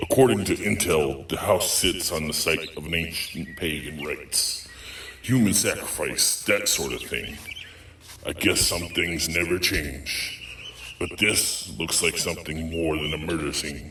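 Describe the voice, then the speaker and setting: A man's put-on character voice, very deep and low, over clear background noise. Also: moderate pace. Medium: audio drama. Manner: dry, sarcastic.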